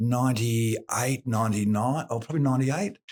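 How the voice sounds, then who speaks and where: Talking at a fairly quick pace, a man with an Australian accent has a medium pitch. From Victoria, Australia. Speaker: concrete polisher, business owner. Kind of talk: podcast interview. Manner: hesitant, many fillers.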